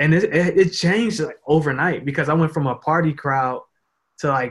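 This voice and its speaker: A man with a fairly high pitch speaks at a moderate pace in a somewhat breathy voice. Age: 20s. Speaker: social media marketer and photographer. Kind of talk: casual interview chat.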